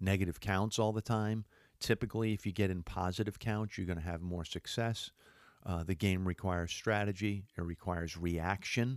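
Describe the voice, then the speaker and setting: With an ordinary speaking voice, a man talks at a moderate pace and fairly low pitch, keeping a fairly even intonation in a dry, close sound with no echo on a very clean recording with a silent background. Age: 50s. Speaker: sports radio podcast host. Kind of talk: casual sports talk monologue. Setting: studio. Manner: casual with frequent filler words.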